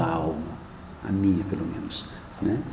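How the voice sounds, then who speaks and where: A man is recorded with audible room echo and noticeable background noise. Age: 60s. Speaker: archbishop. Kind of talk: press conference answers. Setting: press conference room. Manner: hesitant, conversational.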